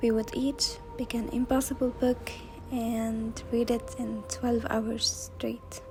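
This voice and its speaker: Music plays in the background while a speaker with a non-native accent talks at a very slow pace. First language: not English. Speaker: booktuber. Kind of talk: scripted narration.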